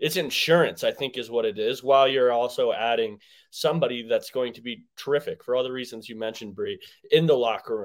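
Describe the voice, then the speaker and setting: On a very clean recording with a silent background, a man with a plain, everyday voice and an American accent speaks at a fairly quick pace, medium pitch and ordinary pitch variation, with big swings in loudness. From Denver, Colorado. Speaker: sports podcast co-host. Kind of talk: casual chat.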